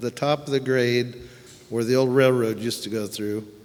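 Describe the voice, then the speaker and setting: A man speaks over noticeable background noise. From Santa Ynez Valley, California. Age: 70s. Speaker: local resident, public commenter. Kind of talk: public comment at meeting.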